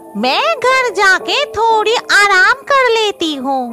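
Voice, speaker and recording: Over clear background music, a female-sounding cartoonish character voice squeaks at an extremely high pitch with very wide pitch swings. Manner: grumbling, talks to herself.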